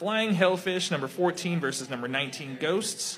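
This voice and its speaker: Speaking very slowly with an American accent, a man uses a high voice and lively intonation. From Texas. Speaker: kickball podcast host. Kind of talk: casual chat. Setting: live in a bar with audience.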